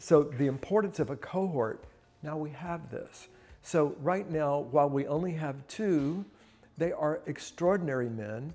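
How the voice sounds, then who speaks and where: A man's fairly high-pitched voice with a dark, mellow tone, ordinary pitch variation, and a fairly slow pace over a quiet background. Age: 60s. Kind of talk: personal reflection to camera. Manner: casual, with frequent fillers and repetitions.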